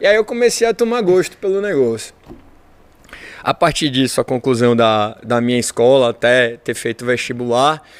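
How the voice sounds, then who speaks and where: A man speaks at a moderate pace and medium pitch, with lively intonation. The sound is dry and close, with no echo. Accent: Bahian. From Bahia, Brazil (Salvador). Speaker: engineer and entrepreneur. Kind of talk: podcast interview.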